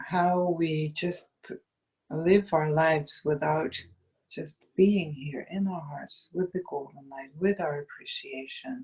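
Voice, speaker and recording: Speaking at a very slow pace, the voice has a soothing tone and a Dutch accent. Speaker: meditation guide. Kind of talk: guided meditation. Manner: slow, soothing.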